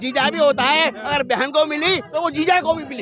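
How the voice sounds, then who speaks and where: A man projects a raised voice at an extremely high pitch, varying it in an ordinary way, while noticeable background noise carries on around him. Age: 60s. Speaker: street interviewee, teacher. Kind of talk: heated debate.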